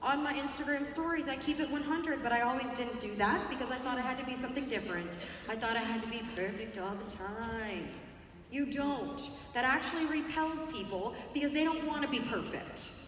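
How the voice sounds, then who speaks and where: Amid noticeable background noise and audible room echo, a woman speaks at a high pitch in an animated tone. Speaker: network marketing speaker. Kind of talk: motivational talk. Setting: stage with audience. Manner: fast.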